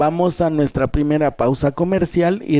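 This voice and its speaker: This man's tone is dark and mellow. He talks fairly slowly. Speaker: radio host. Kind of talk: radio talk on emotional wellbeing.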